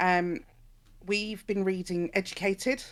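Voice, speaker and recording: A woman speaks with an English accent in a very clean recording with a silent background. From England. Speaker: podcast co-host. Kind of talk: casual book discussion. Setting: live stream and podcast recording.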